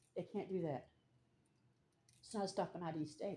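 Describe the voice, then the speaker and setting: This woman has a South Carolina accent and speaks at a fairly quick pace. The recording is very clean, with a silent background. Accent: Southern US (South Carolina). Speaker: citizen journalist. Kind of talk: confrontational street vlog. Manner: loud.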